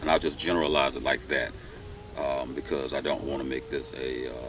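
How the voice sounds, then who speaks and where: The sound is dry with no echo. A man talks over light background noise. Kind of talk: commentary monologue. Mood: calm, earnest. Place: open country.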